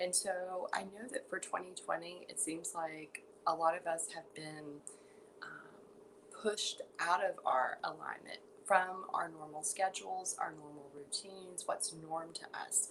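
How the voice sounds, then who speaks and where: Soft-spoken and fairly slow, a woman talks with big swings in loudness. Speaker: yoga teacher. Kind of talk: guided meditation. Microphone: quiet audio, listeners told to turn volume up.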